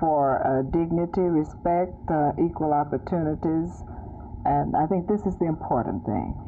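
With music in the background, a woman with a fairly low pitch talks at a moderate pace with ordinary pitch variation. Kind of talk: interview answer. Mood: calm, earnest. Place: home room. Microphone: old recording.

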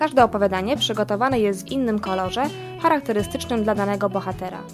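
Clear music plays behind a woman who talks at a very fast pace with ordinary pitch variation. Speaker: radio announcer. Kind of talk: radio book review segment. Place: studio. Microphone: studio mic.

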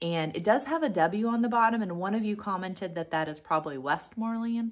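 In a normal speaking voice, a woman talks at a fairly quick pace with lively intonation against a quiet background. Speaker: vintage reseller. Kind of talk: casual vlog chat. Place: home room. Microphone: phone near.

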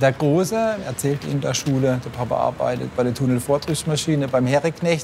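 Someone with a Baden accent speaks at a moderate pace with ordinary pitch variation over noticeable background noise. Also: man. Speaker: workshop foreman, hydraulics pre-assembly. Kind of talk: interview answer. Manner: upbeat, joking.

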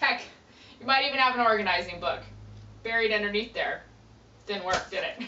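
A woman talks at a fairly quick pace with long, frequent pauses, over light background noise and audible room echo. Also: ordinary pitch variation. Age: 30s. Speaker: professional organizer. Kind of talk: audition pitch to camera. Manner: upbeat, animated. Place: office. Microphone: camera far.

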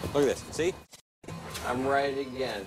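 A man talking, with clear music in the background. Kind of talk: film dialogue, flirtatious explanation. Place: car.

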